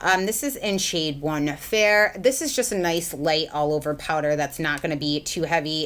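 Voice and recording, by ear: The tone is fairly bright. The pace is moderate, with ordinary pitch variation. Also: woman.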